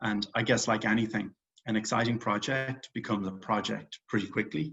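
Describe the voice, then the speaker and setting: With an Irish accent, a man speaks at a fairly quick pace with a fairly low pitch and fairly even intonation. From Ireland, Dublin. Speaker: real estate investor and company founder. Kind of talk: interview.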